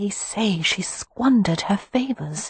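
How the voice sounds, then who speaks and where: Whispering at a fairly slow pace, the speaker uses a put-on character voice. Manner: whispering, gossipy.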